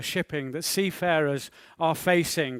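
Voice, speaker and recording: Ordinary pitch variation marks this very slow delivery, in a very clean recording with a silent background. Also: man. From northern England, Liverpool. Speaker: maritime security speaker. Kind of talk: conference talk.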